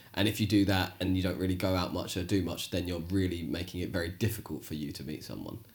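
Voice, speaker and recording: A man's very deep, low voice, somewhat breathy, at a very fast pace with hardly any pauses. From England. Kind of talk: casual banter chat, podcast. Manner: swearing, chatty, joking.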